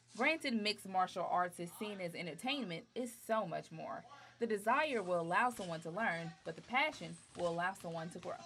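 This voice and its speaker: Speaking in an unremarkable speaking voice, a woman keeps a medium pitch and a moderate pace with lively intonation. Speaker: sports anchor and reporter. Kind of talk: TV sports news anchoring and reporting.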